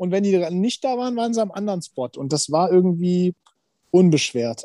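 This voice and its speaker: A man talks in a high yet dark, mellow voice with ordinary pitch variation. The sound is dry and close, with no echo. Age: 40s. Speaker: insurance sales professional and TV personality. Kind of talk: casual interview chat.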